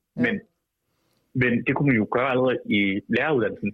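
The man talks at a very fast pace. His voice sits at a medium pitch. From Denmark, Vejle. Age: 20s. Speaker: political activist and columnist. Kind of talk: radio interview. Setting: phone call.

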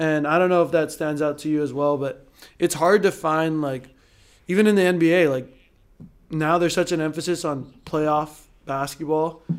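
A man's fairly high pitch in an ordinary speaking voice, with fairly even intonation at a moderate pace, on a very clean recording against a silent background. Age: 20s. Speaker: professional volleyball player. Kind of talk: casual chat.

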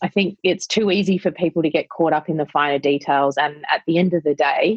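With an Australian accent, a woman speaks in a very deep, low voice at a fairly quick pace. Her loudness stays very even, and her pitch varies in an ordinary way. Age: 40s. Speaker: wedding venue operator. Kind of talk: casual chat.

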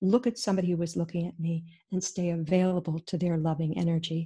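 In a very clean recording with a silent background, a woman speaks at a fairly quick pace in a fairly low pitch. Her tone is dark and mellow, somewhat breathy, with fairly even intonation. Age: 70s. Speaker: author and intuitive therapy coach. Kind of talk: interview storytelling.

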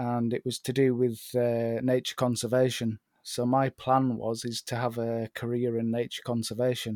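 A man's medium-pitched voice in a British accent, monotone and flat, with a dry, close sound and no echo. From northern England, Northumberland, moved around UK as child. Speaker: landscape photographer. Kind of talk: casual chat. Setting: remote call.

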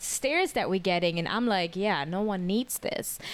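A woman with a German accent at a fairly quick pace, over noticeable background noise. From Germany. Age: 30s. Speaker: podcast guest. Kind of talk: casual chat.

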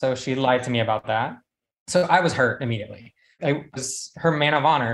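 A man with an American accent has an unremarkable speaking voice and ordinary pitch variation. The background is quiet. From South Carolina. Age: 20s. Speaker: medical student, caller. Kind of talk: personal story. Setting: call-in.

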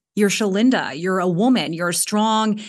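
A woman with a normal speaking voice, medium pitch and fairly even intonation against a quiet background. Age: 30s. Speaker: former podcast producer. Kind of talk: casual chat.

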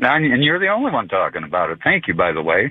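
The voice belongs to a man. He talks in an American accent. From Florida. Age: 60s. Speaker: caller. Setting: phone call.

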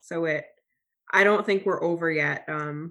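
A woman with a fairly low, bright, sharp voice speaks fairly slowly and with fairly even intonation on a very clean recording with a silent background. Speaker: foster parent. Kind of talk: casual interview.

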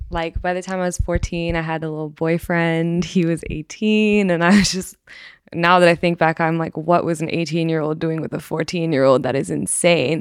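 An ordinary speaking voice from a woman, fairly low in pitch, with an American accent and fairly even intonation. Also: moderate pace, very clean recording, silent background. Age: 20s. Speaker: university student. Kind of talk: casual chat.

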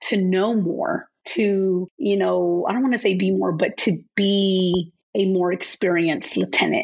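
The woman, with an American accent, keeps a moderate pace. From Florida, small town. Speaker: army veteran. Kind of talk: interview.

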